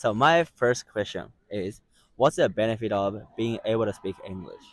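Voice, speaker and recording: A man with a Japanese accent talks at a moderate pace. The sound is dry and close, with no echo. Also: medium pitch for a man, ordinary pitch variation. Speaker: street interviewer. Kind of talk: casual interview.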